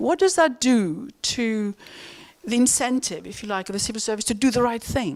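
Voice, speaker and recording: A woman with a Greek accent speaks at a fairly quick pace, her pitch varying in an ordinary way. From Greece. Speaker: economist. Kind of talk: panel discussion. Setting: stage with audience. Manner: halting.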